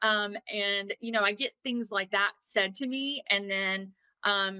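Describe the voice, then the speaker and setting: Here a woman with a Southern US accent has a medium-pitched, bright, sharp tone and fairly even intonation. She speaks at a fairly slow pace, the sound dry and close with no echo. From US South. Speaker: attorney and spiritual coach. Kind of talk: interview.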